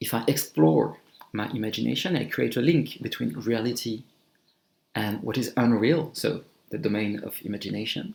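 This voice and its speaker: With a strong French accent, a man at a medium pitch uses lively intonation and vocal fry. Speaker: amateur electronic music maker, YouTuber. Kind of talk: casual vlog monologue. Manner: halting.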